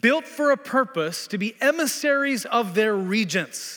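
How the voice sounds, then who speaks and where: Raised and projected, a man's high voice has a bright, sharp tone and lively intonation at a fairly slow pace. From Tanzania and Kenya, East Africa (born in Texas). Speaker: pastor. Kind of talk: sermon. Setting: church.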